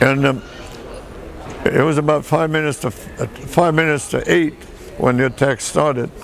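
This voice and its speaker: A man with an American accent at a moderate pace, ordinary pitch variation, and noticeable background noise. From Michigan, US Midwest (early childhood in France). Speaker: war veteran. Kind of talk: oral history interview. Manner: halting.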